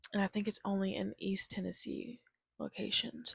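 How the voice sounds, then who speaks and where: A soft-spoken woman with an American accent and a relaxed tone, dry and close with no echo. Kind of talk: ASMR rambling, casual talk to camera. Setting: lying in bed, close-mic home recording. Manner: soft-spoken, relaxed.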